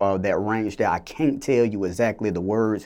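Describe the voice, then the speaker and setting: A man's fairly low voice at a moderate pace. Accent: Atlanta. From US South, Clayton County, metro Atlanta, Georgia. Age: young. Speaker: recording artist and producer. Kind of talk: interview. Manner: halting, many fillers.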